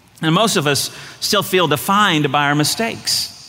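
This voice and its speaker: A man's voice shows ordinary pitch variation while noticeable background noise runs underneath. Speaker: pastor. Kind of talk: sermon. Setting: church stage with congregation. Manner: fast.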